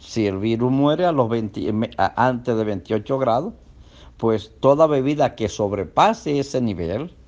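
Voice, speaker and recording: At a fairly slow pace, a man talks in an unremarkable speaking voice. The pitch sits at a medium level and varies in an ordinary way. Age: 60s. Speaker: doctor. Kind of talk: health talk.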